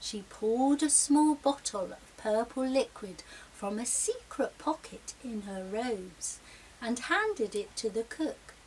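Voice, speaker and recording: Over clear background noise, a woman does a high-pitched, put-on character voice at a fairly slow pace. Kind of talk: children's story reading.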